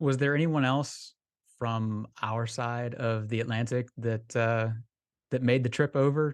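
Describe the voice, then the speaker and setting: Against a quiet background, a man with an American accent speaks in an unremarkable speaking voice at medium pitch, a fairly slow pace and with fairly even intonation. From Florida, US. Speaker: golf travel podcast co-host. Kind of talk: casual chat.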